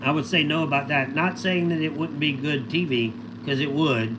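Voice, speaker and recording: A man with a fairly high pitch is heard through audible room echo and noticeable background noise. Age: 50s. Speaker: livestreamer, former reality TV contestant. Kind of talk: casual livestream chat answering viewer questions. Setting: solo livestream. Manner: loud; animated.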